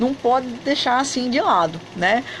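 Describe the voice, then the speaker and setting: A woman speaks at a fairly slow pace in a high pitch and an animated tone. Noticeable background noise sits behind her. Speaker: online Turkish teacher and travel vlogger. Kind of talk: live stream chat. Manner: soft-spoken.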